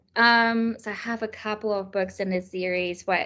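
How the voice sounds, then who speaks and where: With a German accent, a woman speaks at a moderate pace against a quiet background. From Germany. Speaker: children's author and illustrator. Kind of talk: interview.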